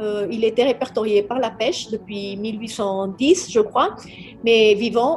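Over noticeable background noise, a woman with a fairly high pitch speaks at a very slow pace with ordinary pitch variation. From Colombia. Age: 50s. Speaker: naturalist and politician. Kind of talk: interview. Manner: halting.

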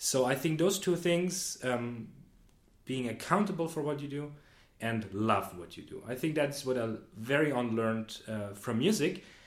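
A man with a fairly high voice at a moderate pace, lively intonation, long and frequent pauses, and audible room echo. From Austria, Vienna. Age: 20s. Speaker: management consultant. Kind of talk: casual interview. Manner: hesitant, many fillers.

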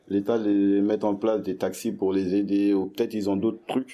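A man's voice with a dark, mellow tone sits fairly low in pitch, with fairly even intonation and a moderate pace, in a very clean recording with a silent background. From Paris region (Essonne). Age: 20s. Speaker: young worker, resident of a youth hostel. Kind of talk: interview testimony. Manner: hesitant, many fillers.

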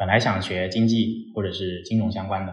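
A slight Cantonese accent colors the speech. The room echo is audible. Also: man. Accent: slight Cantonese-tinged Mandarin. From Guangdong, southern China. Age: 20s. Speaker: startup partner in career education. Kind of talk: casual interview chat. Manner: animated, frequent fillers.

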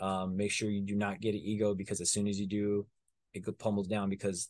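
A man's fairly low voice at a very fast pace, against a quiet background. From US, Mexican-American community. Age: 20s. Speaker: stunt performer and martial artist. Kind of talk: casual interview chat.

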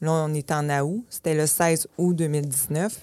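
The speaker has a Quebec accent, heard on a very clean recording with a silent background. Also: woman. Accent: Québécois French. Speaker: hair salon owner. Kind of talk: interview.

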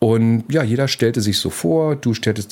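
A man speaks at a medium pitch with ordinary pitch variation. He has a plain, everyday voice. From East Berlin. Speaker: podcast producer. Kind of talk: interview storytelling.

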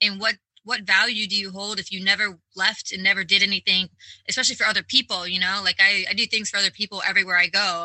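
Her medium-pitched voice races at a very fast pace, the woman's intonation monotone and flat. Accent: American. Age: 30s. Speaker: travel blogger. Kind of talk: casual interview. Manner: frequent fillers and hesitations.

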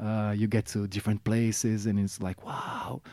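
Dark and mellow in tone, a man with a Brazilian accent speaks at a fairly slow pace in a very clean, dry, close recording with no echo and a silent background. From Brazil, Rio de Janeiro. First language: Portuguese. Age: 40s. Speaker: musician. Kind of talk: casual interview. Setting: radio studio. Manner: halting, many repetitions.

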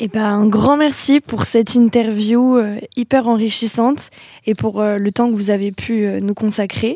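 This woman has a plain, everyday voice with fairly high pitch. She talks at a fairly slow pace with fairly even intonation. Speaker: communication student. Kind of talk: scripted interview introduction; interview.

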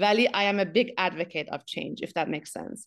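A woman rattles off her words very fast, her medium-pitched voice rising and falling in an ordinary way. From Iran, Abadan (Khuzestan). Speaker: tech executive and foundation head. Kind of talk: interview, personal life story. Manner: frequent fillers and hesitations.

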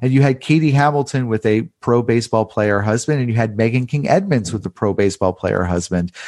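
Here a man with an ordinary speaking voice talks at a fairly quick pace. His intonation is lively, and the background is quiet. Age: 30s. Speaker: journalist and author. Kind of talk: casual chat.

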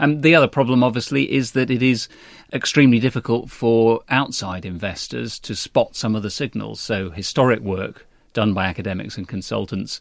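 Vocal fry colors fairly quick speech with ordinary pitch variation in a very clean recording with a silent background. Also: man. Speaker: newspaper management editor. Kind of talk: interview discussion. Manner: hesitant, fillers.

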